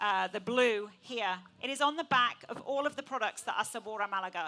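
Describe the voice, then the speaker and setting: With an English accent, a woman speaks at a fairly quick pace in a fairly high pitch with ordinary pitch variation. Music plays in the background. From England. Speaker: event host and food presenter. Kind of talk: live event presentation. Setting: stage with audience.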